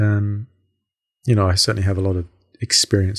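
In a very clean recording with a silent background, a man speaks with a fairly low, somewhat breathy voice and fairly even intonation. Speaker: podcaster, construction worker. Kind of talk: solo personal podcast monologue. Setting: home recording. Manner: casual, rambling, with many fillers.

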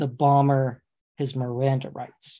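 A man with a fairly high pitch and a somewhat breathy voice speaks against a quiet background. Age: 40s. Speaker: attorney podcast host. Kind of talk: casual chat.

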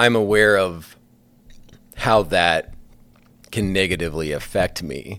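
A man with a Midwestern American accent, a very deep, low pitch, a bright, sharp tone, ordinary pitch variation and long, frequent pauses. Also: fairly slow pace. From northwest Iowa. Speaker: school counselor. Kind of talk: casual chat.

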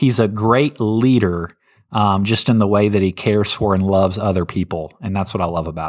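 A man talks at a fairly quick pace in an ordinary speaking voice. His pitch is fairly low, with ordinary pitch variation. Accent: American. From North Carolina. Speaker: pastor. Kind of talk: bible teaching; casual chat.

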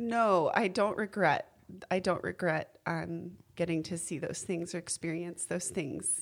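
A woman speaks at a fairly slow pace with an ordinary speaking voice. Her pitch is fairly low, with ordinary pitch variation. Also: very clean recording, silent background. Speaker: birth mother. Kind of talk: casual chat.

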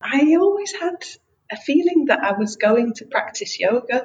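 A woman speaks in an English accent at a fairly slow pace. Her pitch swings very widely. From England. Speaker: freelance writer. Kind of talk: interview.

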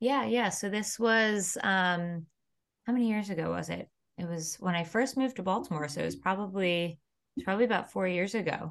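Against a quiet background, a woman has an ordinary speaking voice with a medium pitch. She talks at a fairly quick pace with ordinary pitch variation. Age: 30s. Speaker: acupuncturist, podcast co-host. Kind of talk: casual chat.

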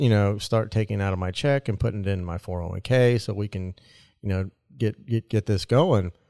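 A man in a plain, everyday voice talks at a moderate pace with ordinary pitch variation, in a very clean recording with a silent background and a dry, close sound with no echo. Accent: American. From US Midwest (Nebraska). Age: 40s. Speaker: podcast co-host. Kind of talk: casual chat.

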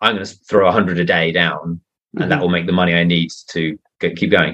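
Speaking at a very fast pace, a man talks in a southern English accent. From England, Surrey. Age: 30s. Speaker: mystery author. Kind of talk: podcast interview.

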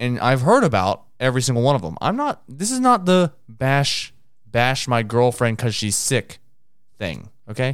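A man speaks in a normal speaking voice at a medium pitch. His pace is moderate and his intonation lively. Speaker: podcast host. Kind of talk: casual banter podcast.

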